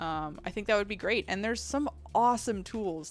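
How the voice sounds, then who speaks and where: In a very clean recording with a silent background, a woman uses an ordinary speaking voice with lively intonation at a moderate pace. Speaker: video game streamer. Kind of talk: live stream chat, reading and answering chat. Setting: live stream. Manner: casual, conversational with fillers.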